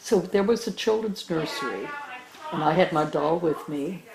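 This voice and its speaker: A woman's speech, at a moderate pace and with ordinary pitch variation, comes through noticeable background noise. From Germany. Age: 80s+. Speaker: Holocaust survivor. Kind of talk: interview answer.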